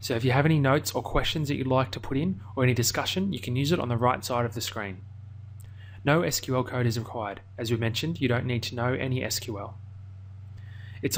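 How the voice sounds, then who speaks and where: A somewhat breathy man with an Australian accent, very fast in pace, with ordinary pitch variation. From Australia, Melbourne. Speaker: online course instructor. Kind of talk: tutorial.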